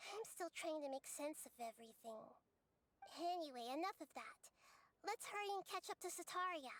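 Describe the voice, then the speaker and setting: Long, frequent pauses break up a put-on character voice pitched extremely high and paced moderately. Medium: video game.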